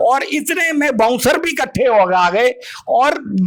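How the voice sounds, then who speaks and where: The speech shows ordinary pitch variation. Noticeable background noise runs underneath. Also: man. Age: 60s. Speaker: retired airline officer, assault victim. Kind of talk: interview testimony. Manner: halting.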